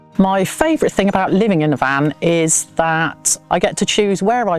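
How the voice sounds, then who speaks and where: A woman's medium-pitched voice, dry and close with no echo, over music in the background. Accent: English. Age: 60s. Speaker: van dweller. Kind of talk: casual chat.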